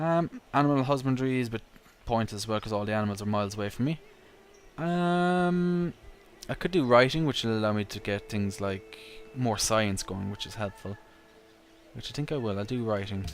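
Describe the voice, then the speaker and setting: In an Irish accent, a man with a medium pitch speaks in a relaxed tone with lively intonation and long, frequent pauses. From Ireland. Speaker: gaming YouTuber. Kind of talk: gameplay commentary. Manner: relaxed, casual.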